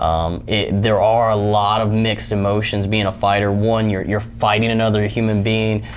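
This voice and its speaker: The speech is monotone and flat, with very even loudness at a moderate pace, heard through audible room echo and noticeable background noise. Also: man. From Tennessee. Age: 20s. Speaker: mixed martial arts fighter. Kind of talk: interview. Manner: hesitant, many fillers.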